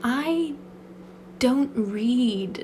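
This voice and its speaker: Noticeable background noise under a woman's fairly high-pitched voice. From Britain. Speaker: ASMR creator. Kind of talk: casual Q&A chat. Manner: rambling soft-spoken.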